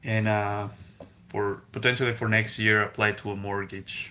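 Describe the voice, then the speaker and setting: With a Spanish accent, a man speaks fairly slowly at a fairly low pitch, his tone bright and sharp. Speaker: car salesman and gig driver, finance YouTuber. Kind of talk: casual live stream chat. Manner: hesitant, many fillers.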